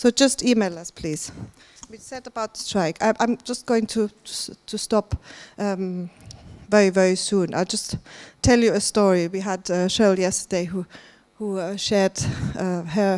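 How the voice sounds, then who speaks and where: A woman with a German accent speaks at a medium pitch with fairly even intonation, big swings in loudness and long, frequent pauses, in a dry, close sound with no echo and a very clean recording with a silent background. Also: moderate pace. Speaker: conference organiser. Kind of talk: conference welcome remarks. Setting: stage with audience. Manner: hesitant, many fillers.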